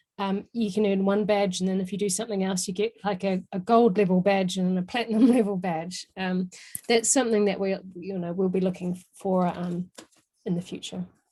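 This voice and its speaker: A woman with a New Zealand accent, a medium pitch, a dark, mellow, somewhat breathy tone, monotone, flat intonation, and a moderate pace. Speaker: software trainer presenting a webinar. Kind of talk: webinar Q&A.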